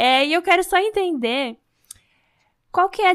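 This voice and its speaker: On a very clean recording with a silent background, a woman speaks. Her pace is moderate and her intonation lively. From Brazil. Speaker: podcast host. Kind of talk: podcast interview.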